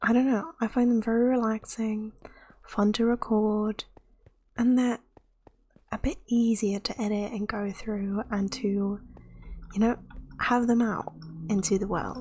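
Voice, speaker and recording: A soft-spoken, somewhat breathy woman with a fairly high pitch, a dark, mellow tone, fairly even intonation, a fairly slow pace and long, frequent pauses. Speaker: gamer. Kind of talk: relaxed gameplay commentary.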